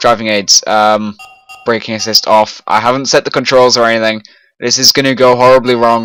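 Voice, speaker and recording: Speaking with a British accent at a fairly quick pace, a man is heard over music in the background. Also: medium pitch for a man, very even loudness. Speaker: gaming streamer. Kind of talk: live gameplay commentary. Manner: loud; animated.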